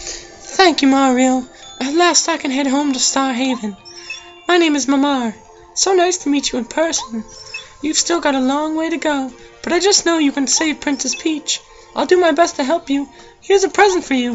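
Over clear background music, a put-on character voice with a high pitch delivers lines at a moderate pace. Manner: sweet, gentle, cheerful.

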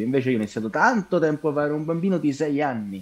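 A man speaks with lively intonation. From Italy, Rome. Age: 20s. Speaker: actor. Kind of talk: casual chat. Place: home room. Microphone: video call.

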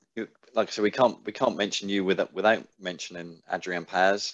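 In a quiet background, one man speaks at a moderate pace, fairly low in pitch, with monotone, flat intonation. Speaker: sports podcast host. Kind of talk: casual interview. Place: home room. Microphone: headset.

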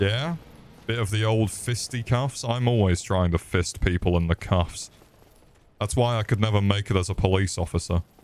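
A man with a British accent speaks at a moderate pace. His pitch is fairly low, with ordinary pitch variation. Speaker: gaming streamer. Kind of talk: live gameplay commentary. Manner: animated.

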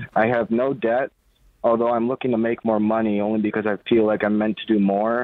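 A man's monotone, flat-intoned voice, dry with no echo, over a quiet background. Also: fairly quick pace. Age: 20s. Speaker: truck driver, caller; caller. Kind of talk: phone-in question. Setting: phone call. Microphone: phone line.

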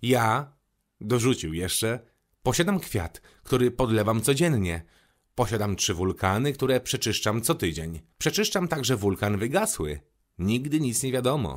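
In a calm, gentle tone at a fairly slow pace, the voice swings very widely in pitch on a very clean recording with a silent background. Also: man, medium pitch for a man. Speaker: rapper reading audiobook. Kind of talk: audiobook reading. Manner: calm, storytelling narration with gentle tone shifts for characters.

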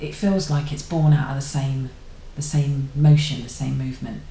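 A woman with an English accent, a very deep, low pitch and monotone, flat intonation, with audible room echo and light background noise. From England. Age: 30s. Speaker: YouTuber; vlogger. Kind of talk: casual vlog monologue. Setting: at home. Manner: halting. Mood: reflective, thoughtful. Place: home room. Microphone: webcam.

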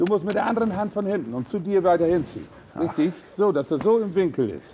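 Over light background noise, a man talks at a very fast pace with a high pitch and lively intonation. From East Frisia, Germany. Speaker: animal chiropractor. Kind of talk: instructing apprentice on the job. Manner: casual, blunt. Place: farm machine.

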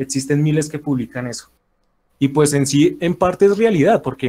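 A man with a fairly high voice talks fairly quickly, his tone dark and mellow, a little breathy, and his pitch varying in an ordinary way. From Colombia. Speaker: anonymous debate opponent. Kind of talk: heated debate. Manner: halting; formal.

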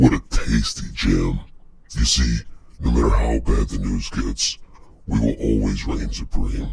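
Very deep and low, a man's voice holds a monotone, flat intonation at a fairly slow pace. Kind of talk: mock news anchor delivery. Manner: theatrically disgusted, then gloating and sinister; resentful toward heaven.

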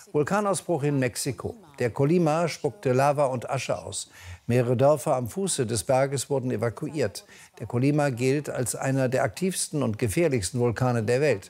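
The pitch moves in an ordinary way, and the pace is moderate. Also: man. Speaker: news anchor and chief presenter. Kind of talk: TV news bulletin read. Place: studio.

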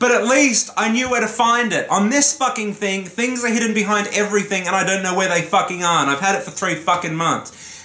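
A man's raised, projected voice at a high pitch, with hardly any pauses and audible room echo. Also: ordinary pitch variation. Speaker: gaming YouTuber. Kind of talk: profanity-laced solo rant to camera about a console's slow interface. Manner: exasperated, swearing explosively; heated and ranting, building frustration. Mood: annoyed, ranting, swearing. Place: home room. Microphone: camera far.

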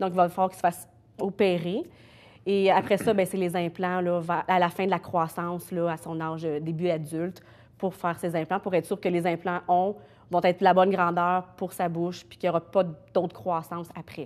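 A woman's fairly low voice with monotone, flat intonation at a moderate pace. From Quebec. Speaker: mother of a sick child. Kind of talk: interview. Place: studio.

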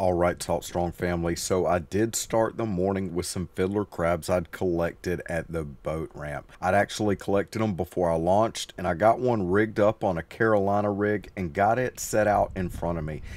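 A man talks at a moderate pace in a very deep, low voice. The sound is dry with no echo. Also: fairly even intonation, hardly any pauses. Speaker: presenter. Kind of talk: casual vlog chat. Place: boat. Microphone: camera far.

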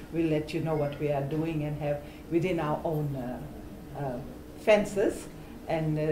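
A woman's very deep, low voice at a fairly slow pace, fairly even in intonation, with noticeable background noise. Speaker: activist coordinator. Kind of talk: rally speech. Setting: outdoor vigil and rally. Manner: earnest, conversational. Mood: earnest, organizing. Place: office. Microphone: camera far.

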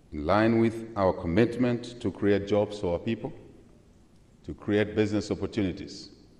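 This man speaks at a fairly slow pace with a fairly low pitch. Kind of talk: formal speech with asides. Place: hall. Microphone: podium.

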